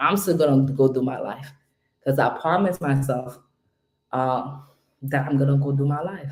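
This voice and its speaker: A woman speaks quietly at a moderate pace, her very deep, low voice dark and mellow, with ordinary pitch variation. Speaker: home care business coach. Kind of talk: live stream motivational talk. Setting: home at night, live stream. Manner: loud; subdued, trying to keep quiet.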